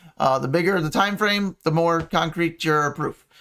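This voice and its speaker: The man's voice is high in pitch. It has a bright, sharp tone. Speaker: crypto market analyst. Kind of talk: chart analysis tutorial. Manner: halting with many fillers; casual.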